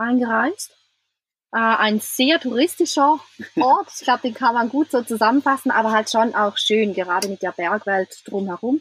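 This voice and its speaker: A woman with a normal speaking voice talks at a moderate pace, her fairly high pitch showing ordinary variation. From Switzerland. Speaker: traveller, van-life couple. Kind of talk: casual interview.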